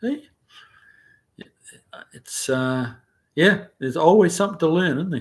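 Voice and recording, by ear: A man's lively intonation with a slightly husky edge.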